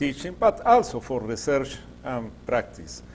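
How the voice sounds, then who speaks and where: Delivered at a fairly slow pace, the speech carries a Latin American accent. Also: man. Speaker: groundwater engineer and professor. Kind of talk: lecture. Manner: halting, many fillers.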